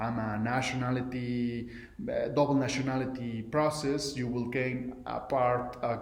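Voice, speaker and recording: A man's fairly slow speech in a Mexican accent, with audible room echo and noticeable background noise. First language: Spanish. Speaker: entrepreneur. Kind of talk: recorded video message. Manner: halting, many fillers and restarts.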